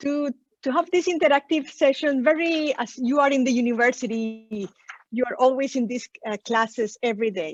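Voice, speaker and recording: Someone with a Spanish accent speaks at a moderate pace with ordinary pitch variation, in a dry, close sound without echo. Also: woman, high pitch for a woman. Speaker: session moderator. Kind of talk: moderating an online session. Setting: video call from a small room.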